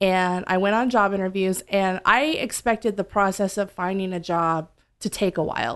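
In an unremarkable speaking voice with an American accent, a woman speaks at a medium pitch and moderate pace with ordinary pitch variation over a quiet background. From US South. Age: 30s. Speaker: bar owner and bartender. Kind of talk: casual interview.

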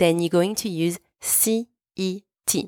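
A woman speaks with a French accent at a fairly low pitch. The recording is very clean, with a silent background and a dry, close sound with no echo. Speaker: French teacher and podcast host. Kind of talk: language lesson. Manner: clear, slow didactic pace.

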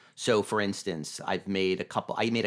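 An American-accented man at a moderate pace, on a very clean recording with a silent background. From Vermont, US. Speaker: film director and screenwriter. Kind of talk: casual interview. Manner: halting, repeats words.

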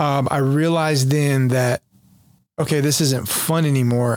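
With an American accent and a plain, everyday voice, a man speaks at a fairly high pitch and moderate pace, his intonation fairly even and his loudness very even, on a very clean recording with a silent background. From North Carolina, Jacksonville area. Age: 40s. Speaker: pastor, recovering addict, former Marine. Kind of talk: testimony.

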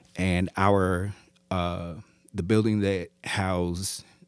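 On a very clean recording with a silent background, a man with an American accent talks in a very deep, low pitch and a monotone, flat intonation. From Iowa, US Midwest. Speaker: professor and sound designer. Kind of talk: casual interview.

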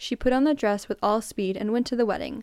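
Fairly high in pitch with a dark, mellow tone, a woman talks at a fairly quick pace with ordinary pitch variation on a very clean recording with a silent background. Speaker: podcast host. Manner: chatty and casual in intros, with self-deprecating laughs.

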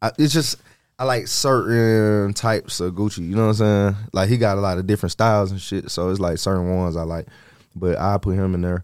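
With an American accent and an ordinary speaking voice, a man talks at a fairly low pitch, captured in a very clean recording over a silent background. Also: ordinary pitch variation, fairly quick pace. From US South, Georgia (Stone Mountain, east Atlanta). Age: 30s. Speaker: rapper. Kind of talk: casual chat.

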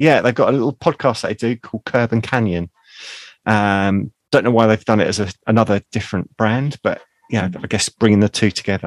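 Heard dry and close with no echo, a plain, everyday voice moves with ordinary pitch variation. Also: man, fairly low pitch for a man. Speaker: podcast co-host. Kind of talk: casual chat.

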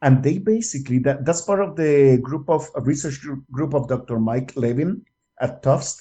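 Somewhat breathy, a man speaks at a moderate pace in a dark, mellow tone, his fairly high pitch showing ordinary variation. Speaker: scientist interviewee. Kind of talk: interview explanation. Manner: hesitant, filler-heavy.

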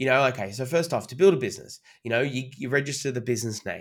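This man has an Australian accent. His voice sits at a medium pitch. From Sydney, Australia. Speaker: master of ceremonies / entertainer. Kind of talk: casual interview chat. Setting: video call.

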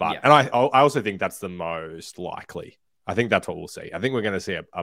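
A man with an Australian accent, bright and sharp in tone, fairly quick, with lively intonation and big swings in loudness. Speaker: podcast co-host. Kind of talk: live podcast chat about football. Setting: live YouTube stream.

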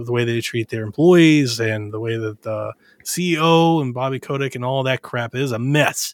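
Speaking at a moderate pace and medium pitch, a man has an unremarkable speaking voice with fairly even intonation, in a dry, close sound with no echo. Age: 30s. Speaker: video game podcast guest. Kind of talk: casual chat.

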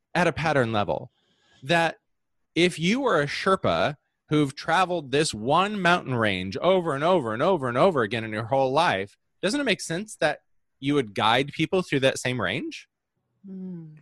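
A man with an American accent speaks at a moderate pace, his pitch fairly high and swinging very widely. The recording is very clean with a silent background, and the sound is dry and close with no echo. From US Midwest, Holland, Michigan. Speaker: business messaging coach. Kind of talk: interview.

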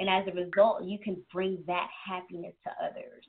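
Speaking at a moderate pace, a woman uses a medium pitch in a normal speaking voice. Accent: American. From New York City (Bronx, Queens) and New Jersey. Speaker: entrepreneur and author, former choreographer. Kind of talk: interview conversation.

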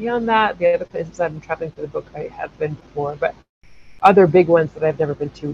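A somewhat breathy woman with an American accent, fairly low in pitch, with big swings in loudness. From US, North Carolina (Chapel Hill). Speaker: travel journalist and podcast host. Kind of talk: casual interview chat.

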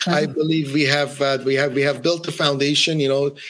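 Fairly high-pitched male speech. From Iran, then Ottawa, Canada. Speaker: record label founder and DJ. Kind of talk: interview.

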